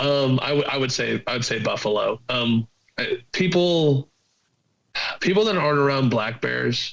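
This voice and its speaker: Speaking with a Southern US accent, a man keeps a moderate pace. His pitch varies in an ordinary way. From southern Virginia. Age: 20s. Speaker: hunter. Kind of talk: casual chat. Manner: halting.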